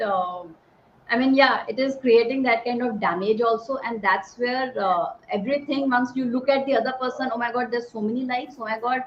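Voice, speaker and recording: This woman speaks at a moderate pace with a high pitch. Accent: Indian. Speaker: army veteran and speaker on positive psychology. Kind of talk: talk to an online audience.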